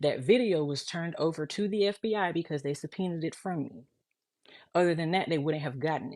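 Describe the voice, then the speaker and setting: This woman has an unremarkable speaking voice, fairly low in pitch with ordinary pitch variation. She talks at a fairly quick pace with big swings in loudness. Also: very clean recording, silent background. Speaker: mother of missing child. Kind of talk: emotional monologue.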